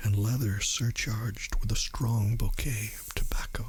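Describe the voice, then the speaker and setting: The voice has a gentle tone and moves at a fairly slow pace. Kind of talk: ASMR audiobook reading. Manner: soft, gentle.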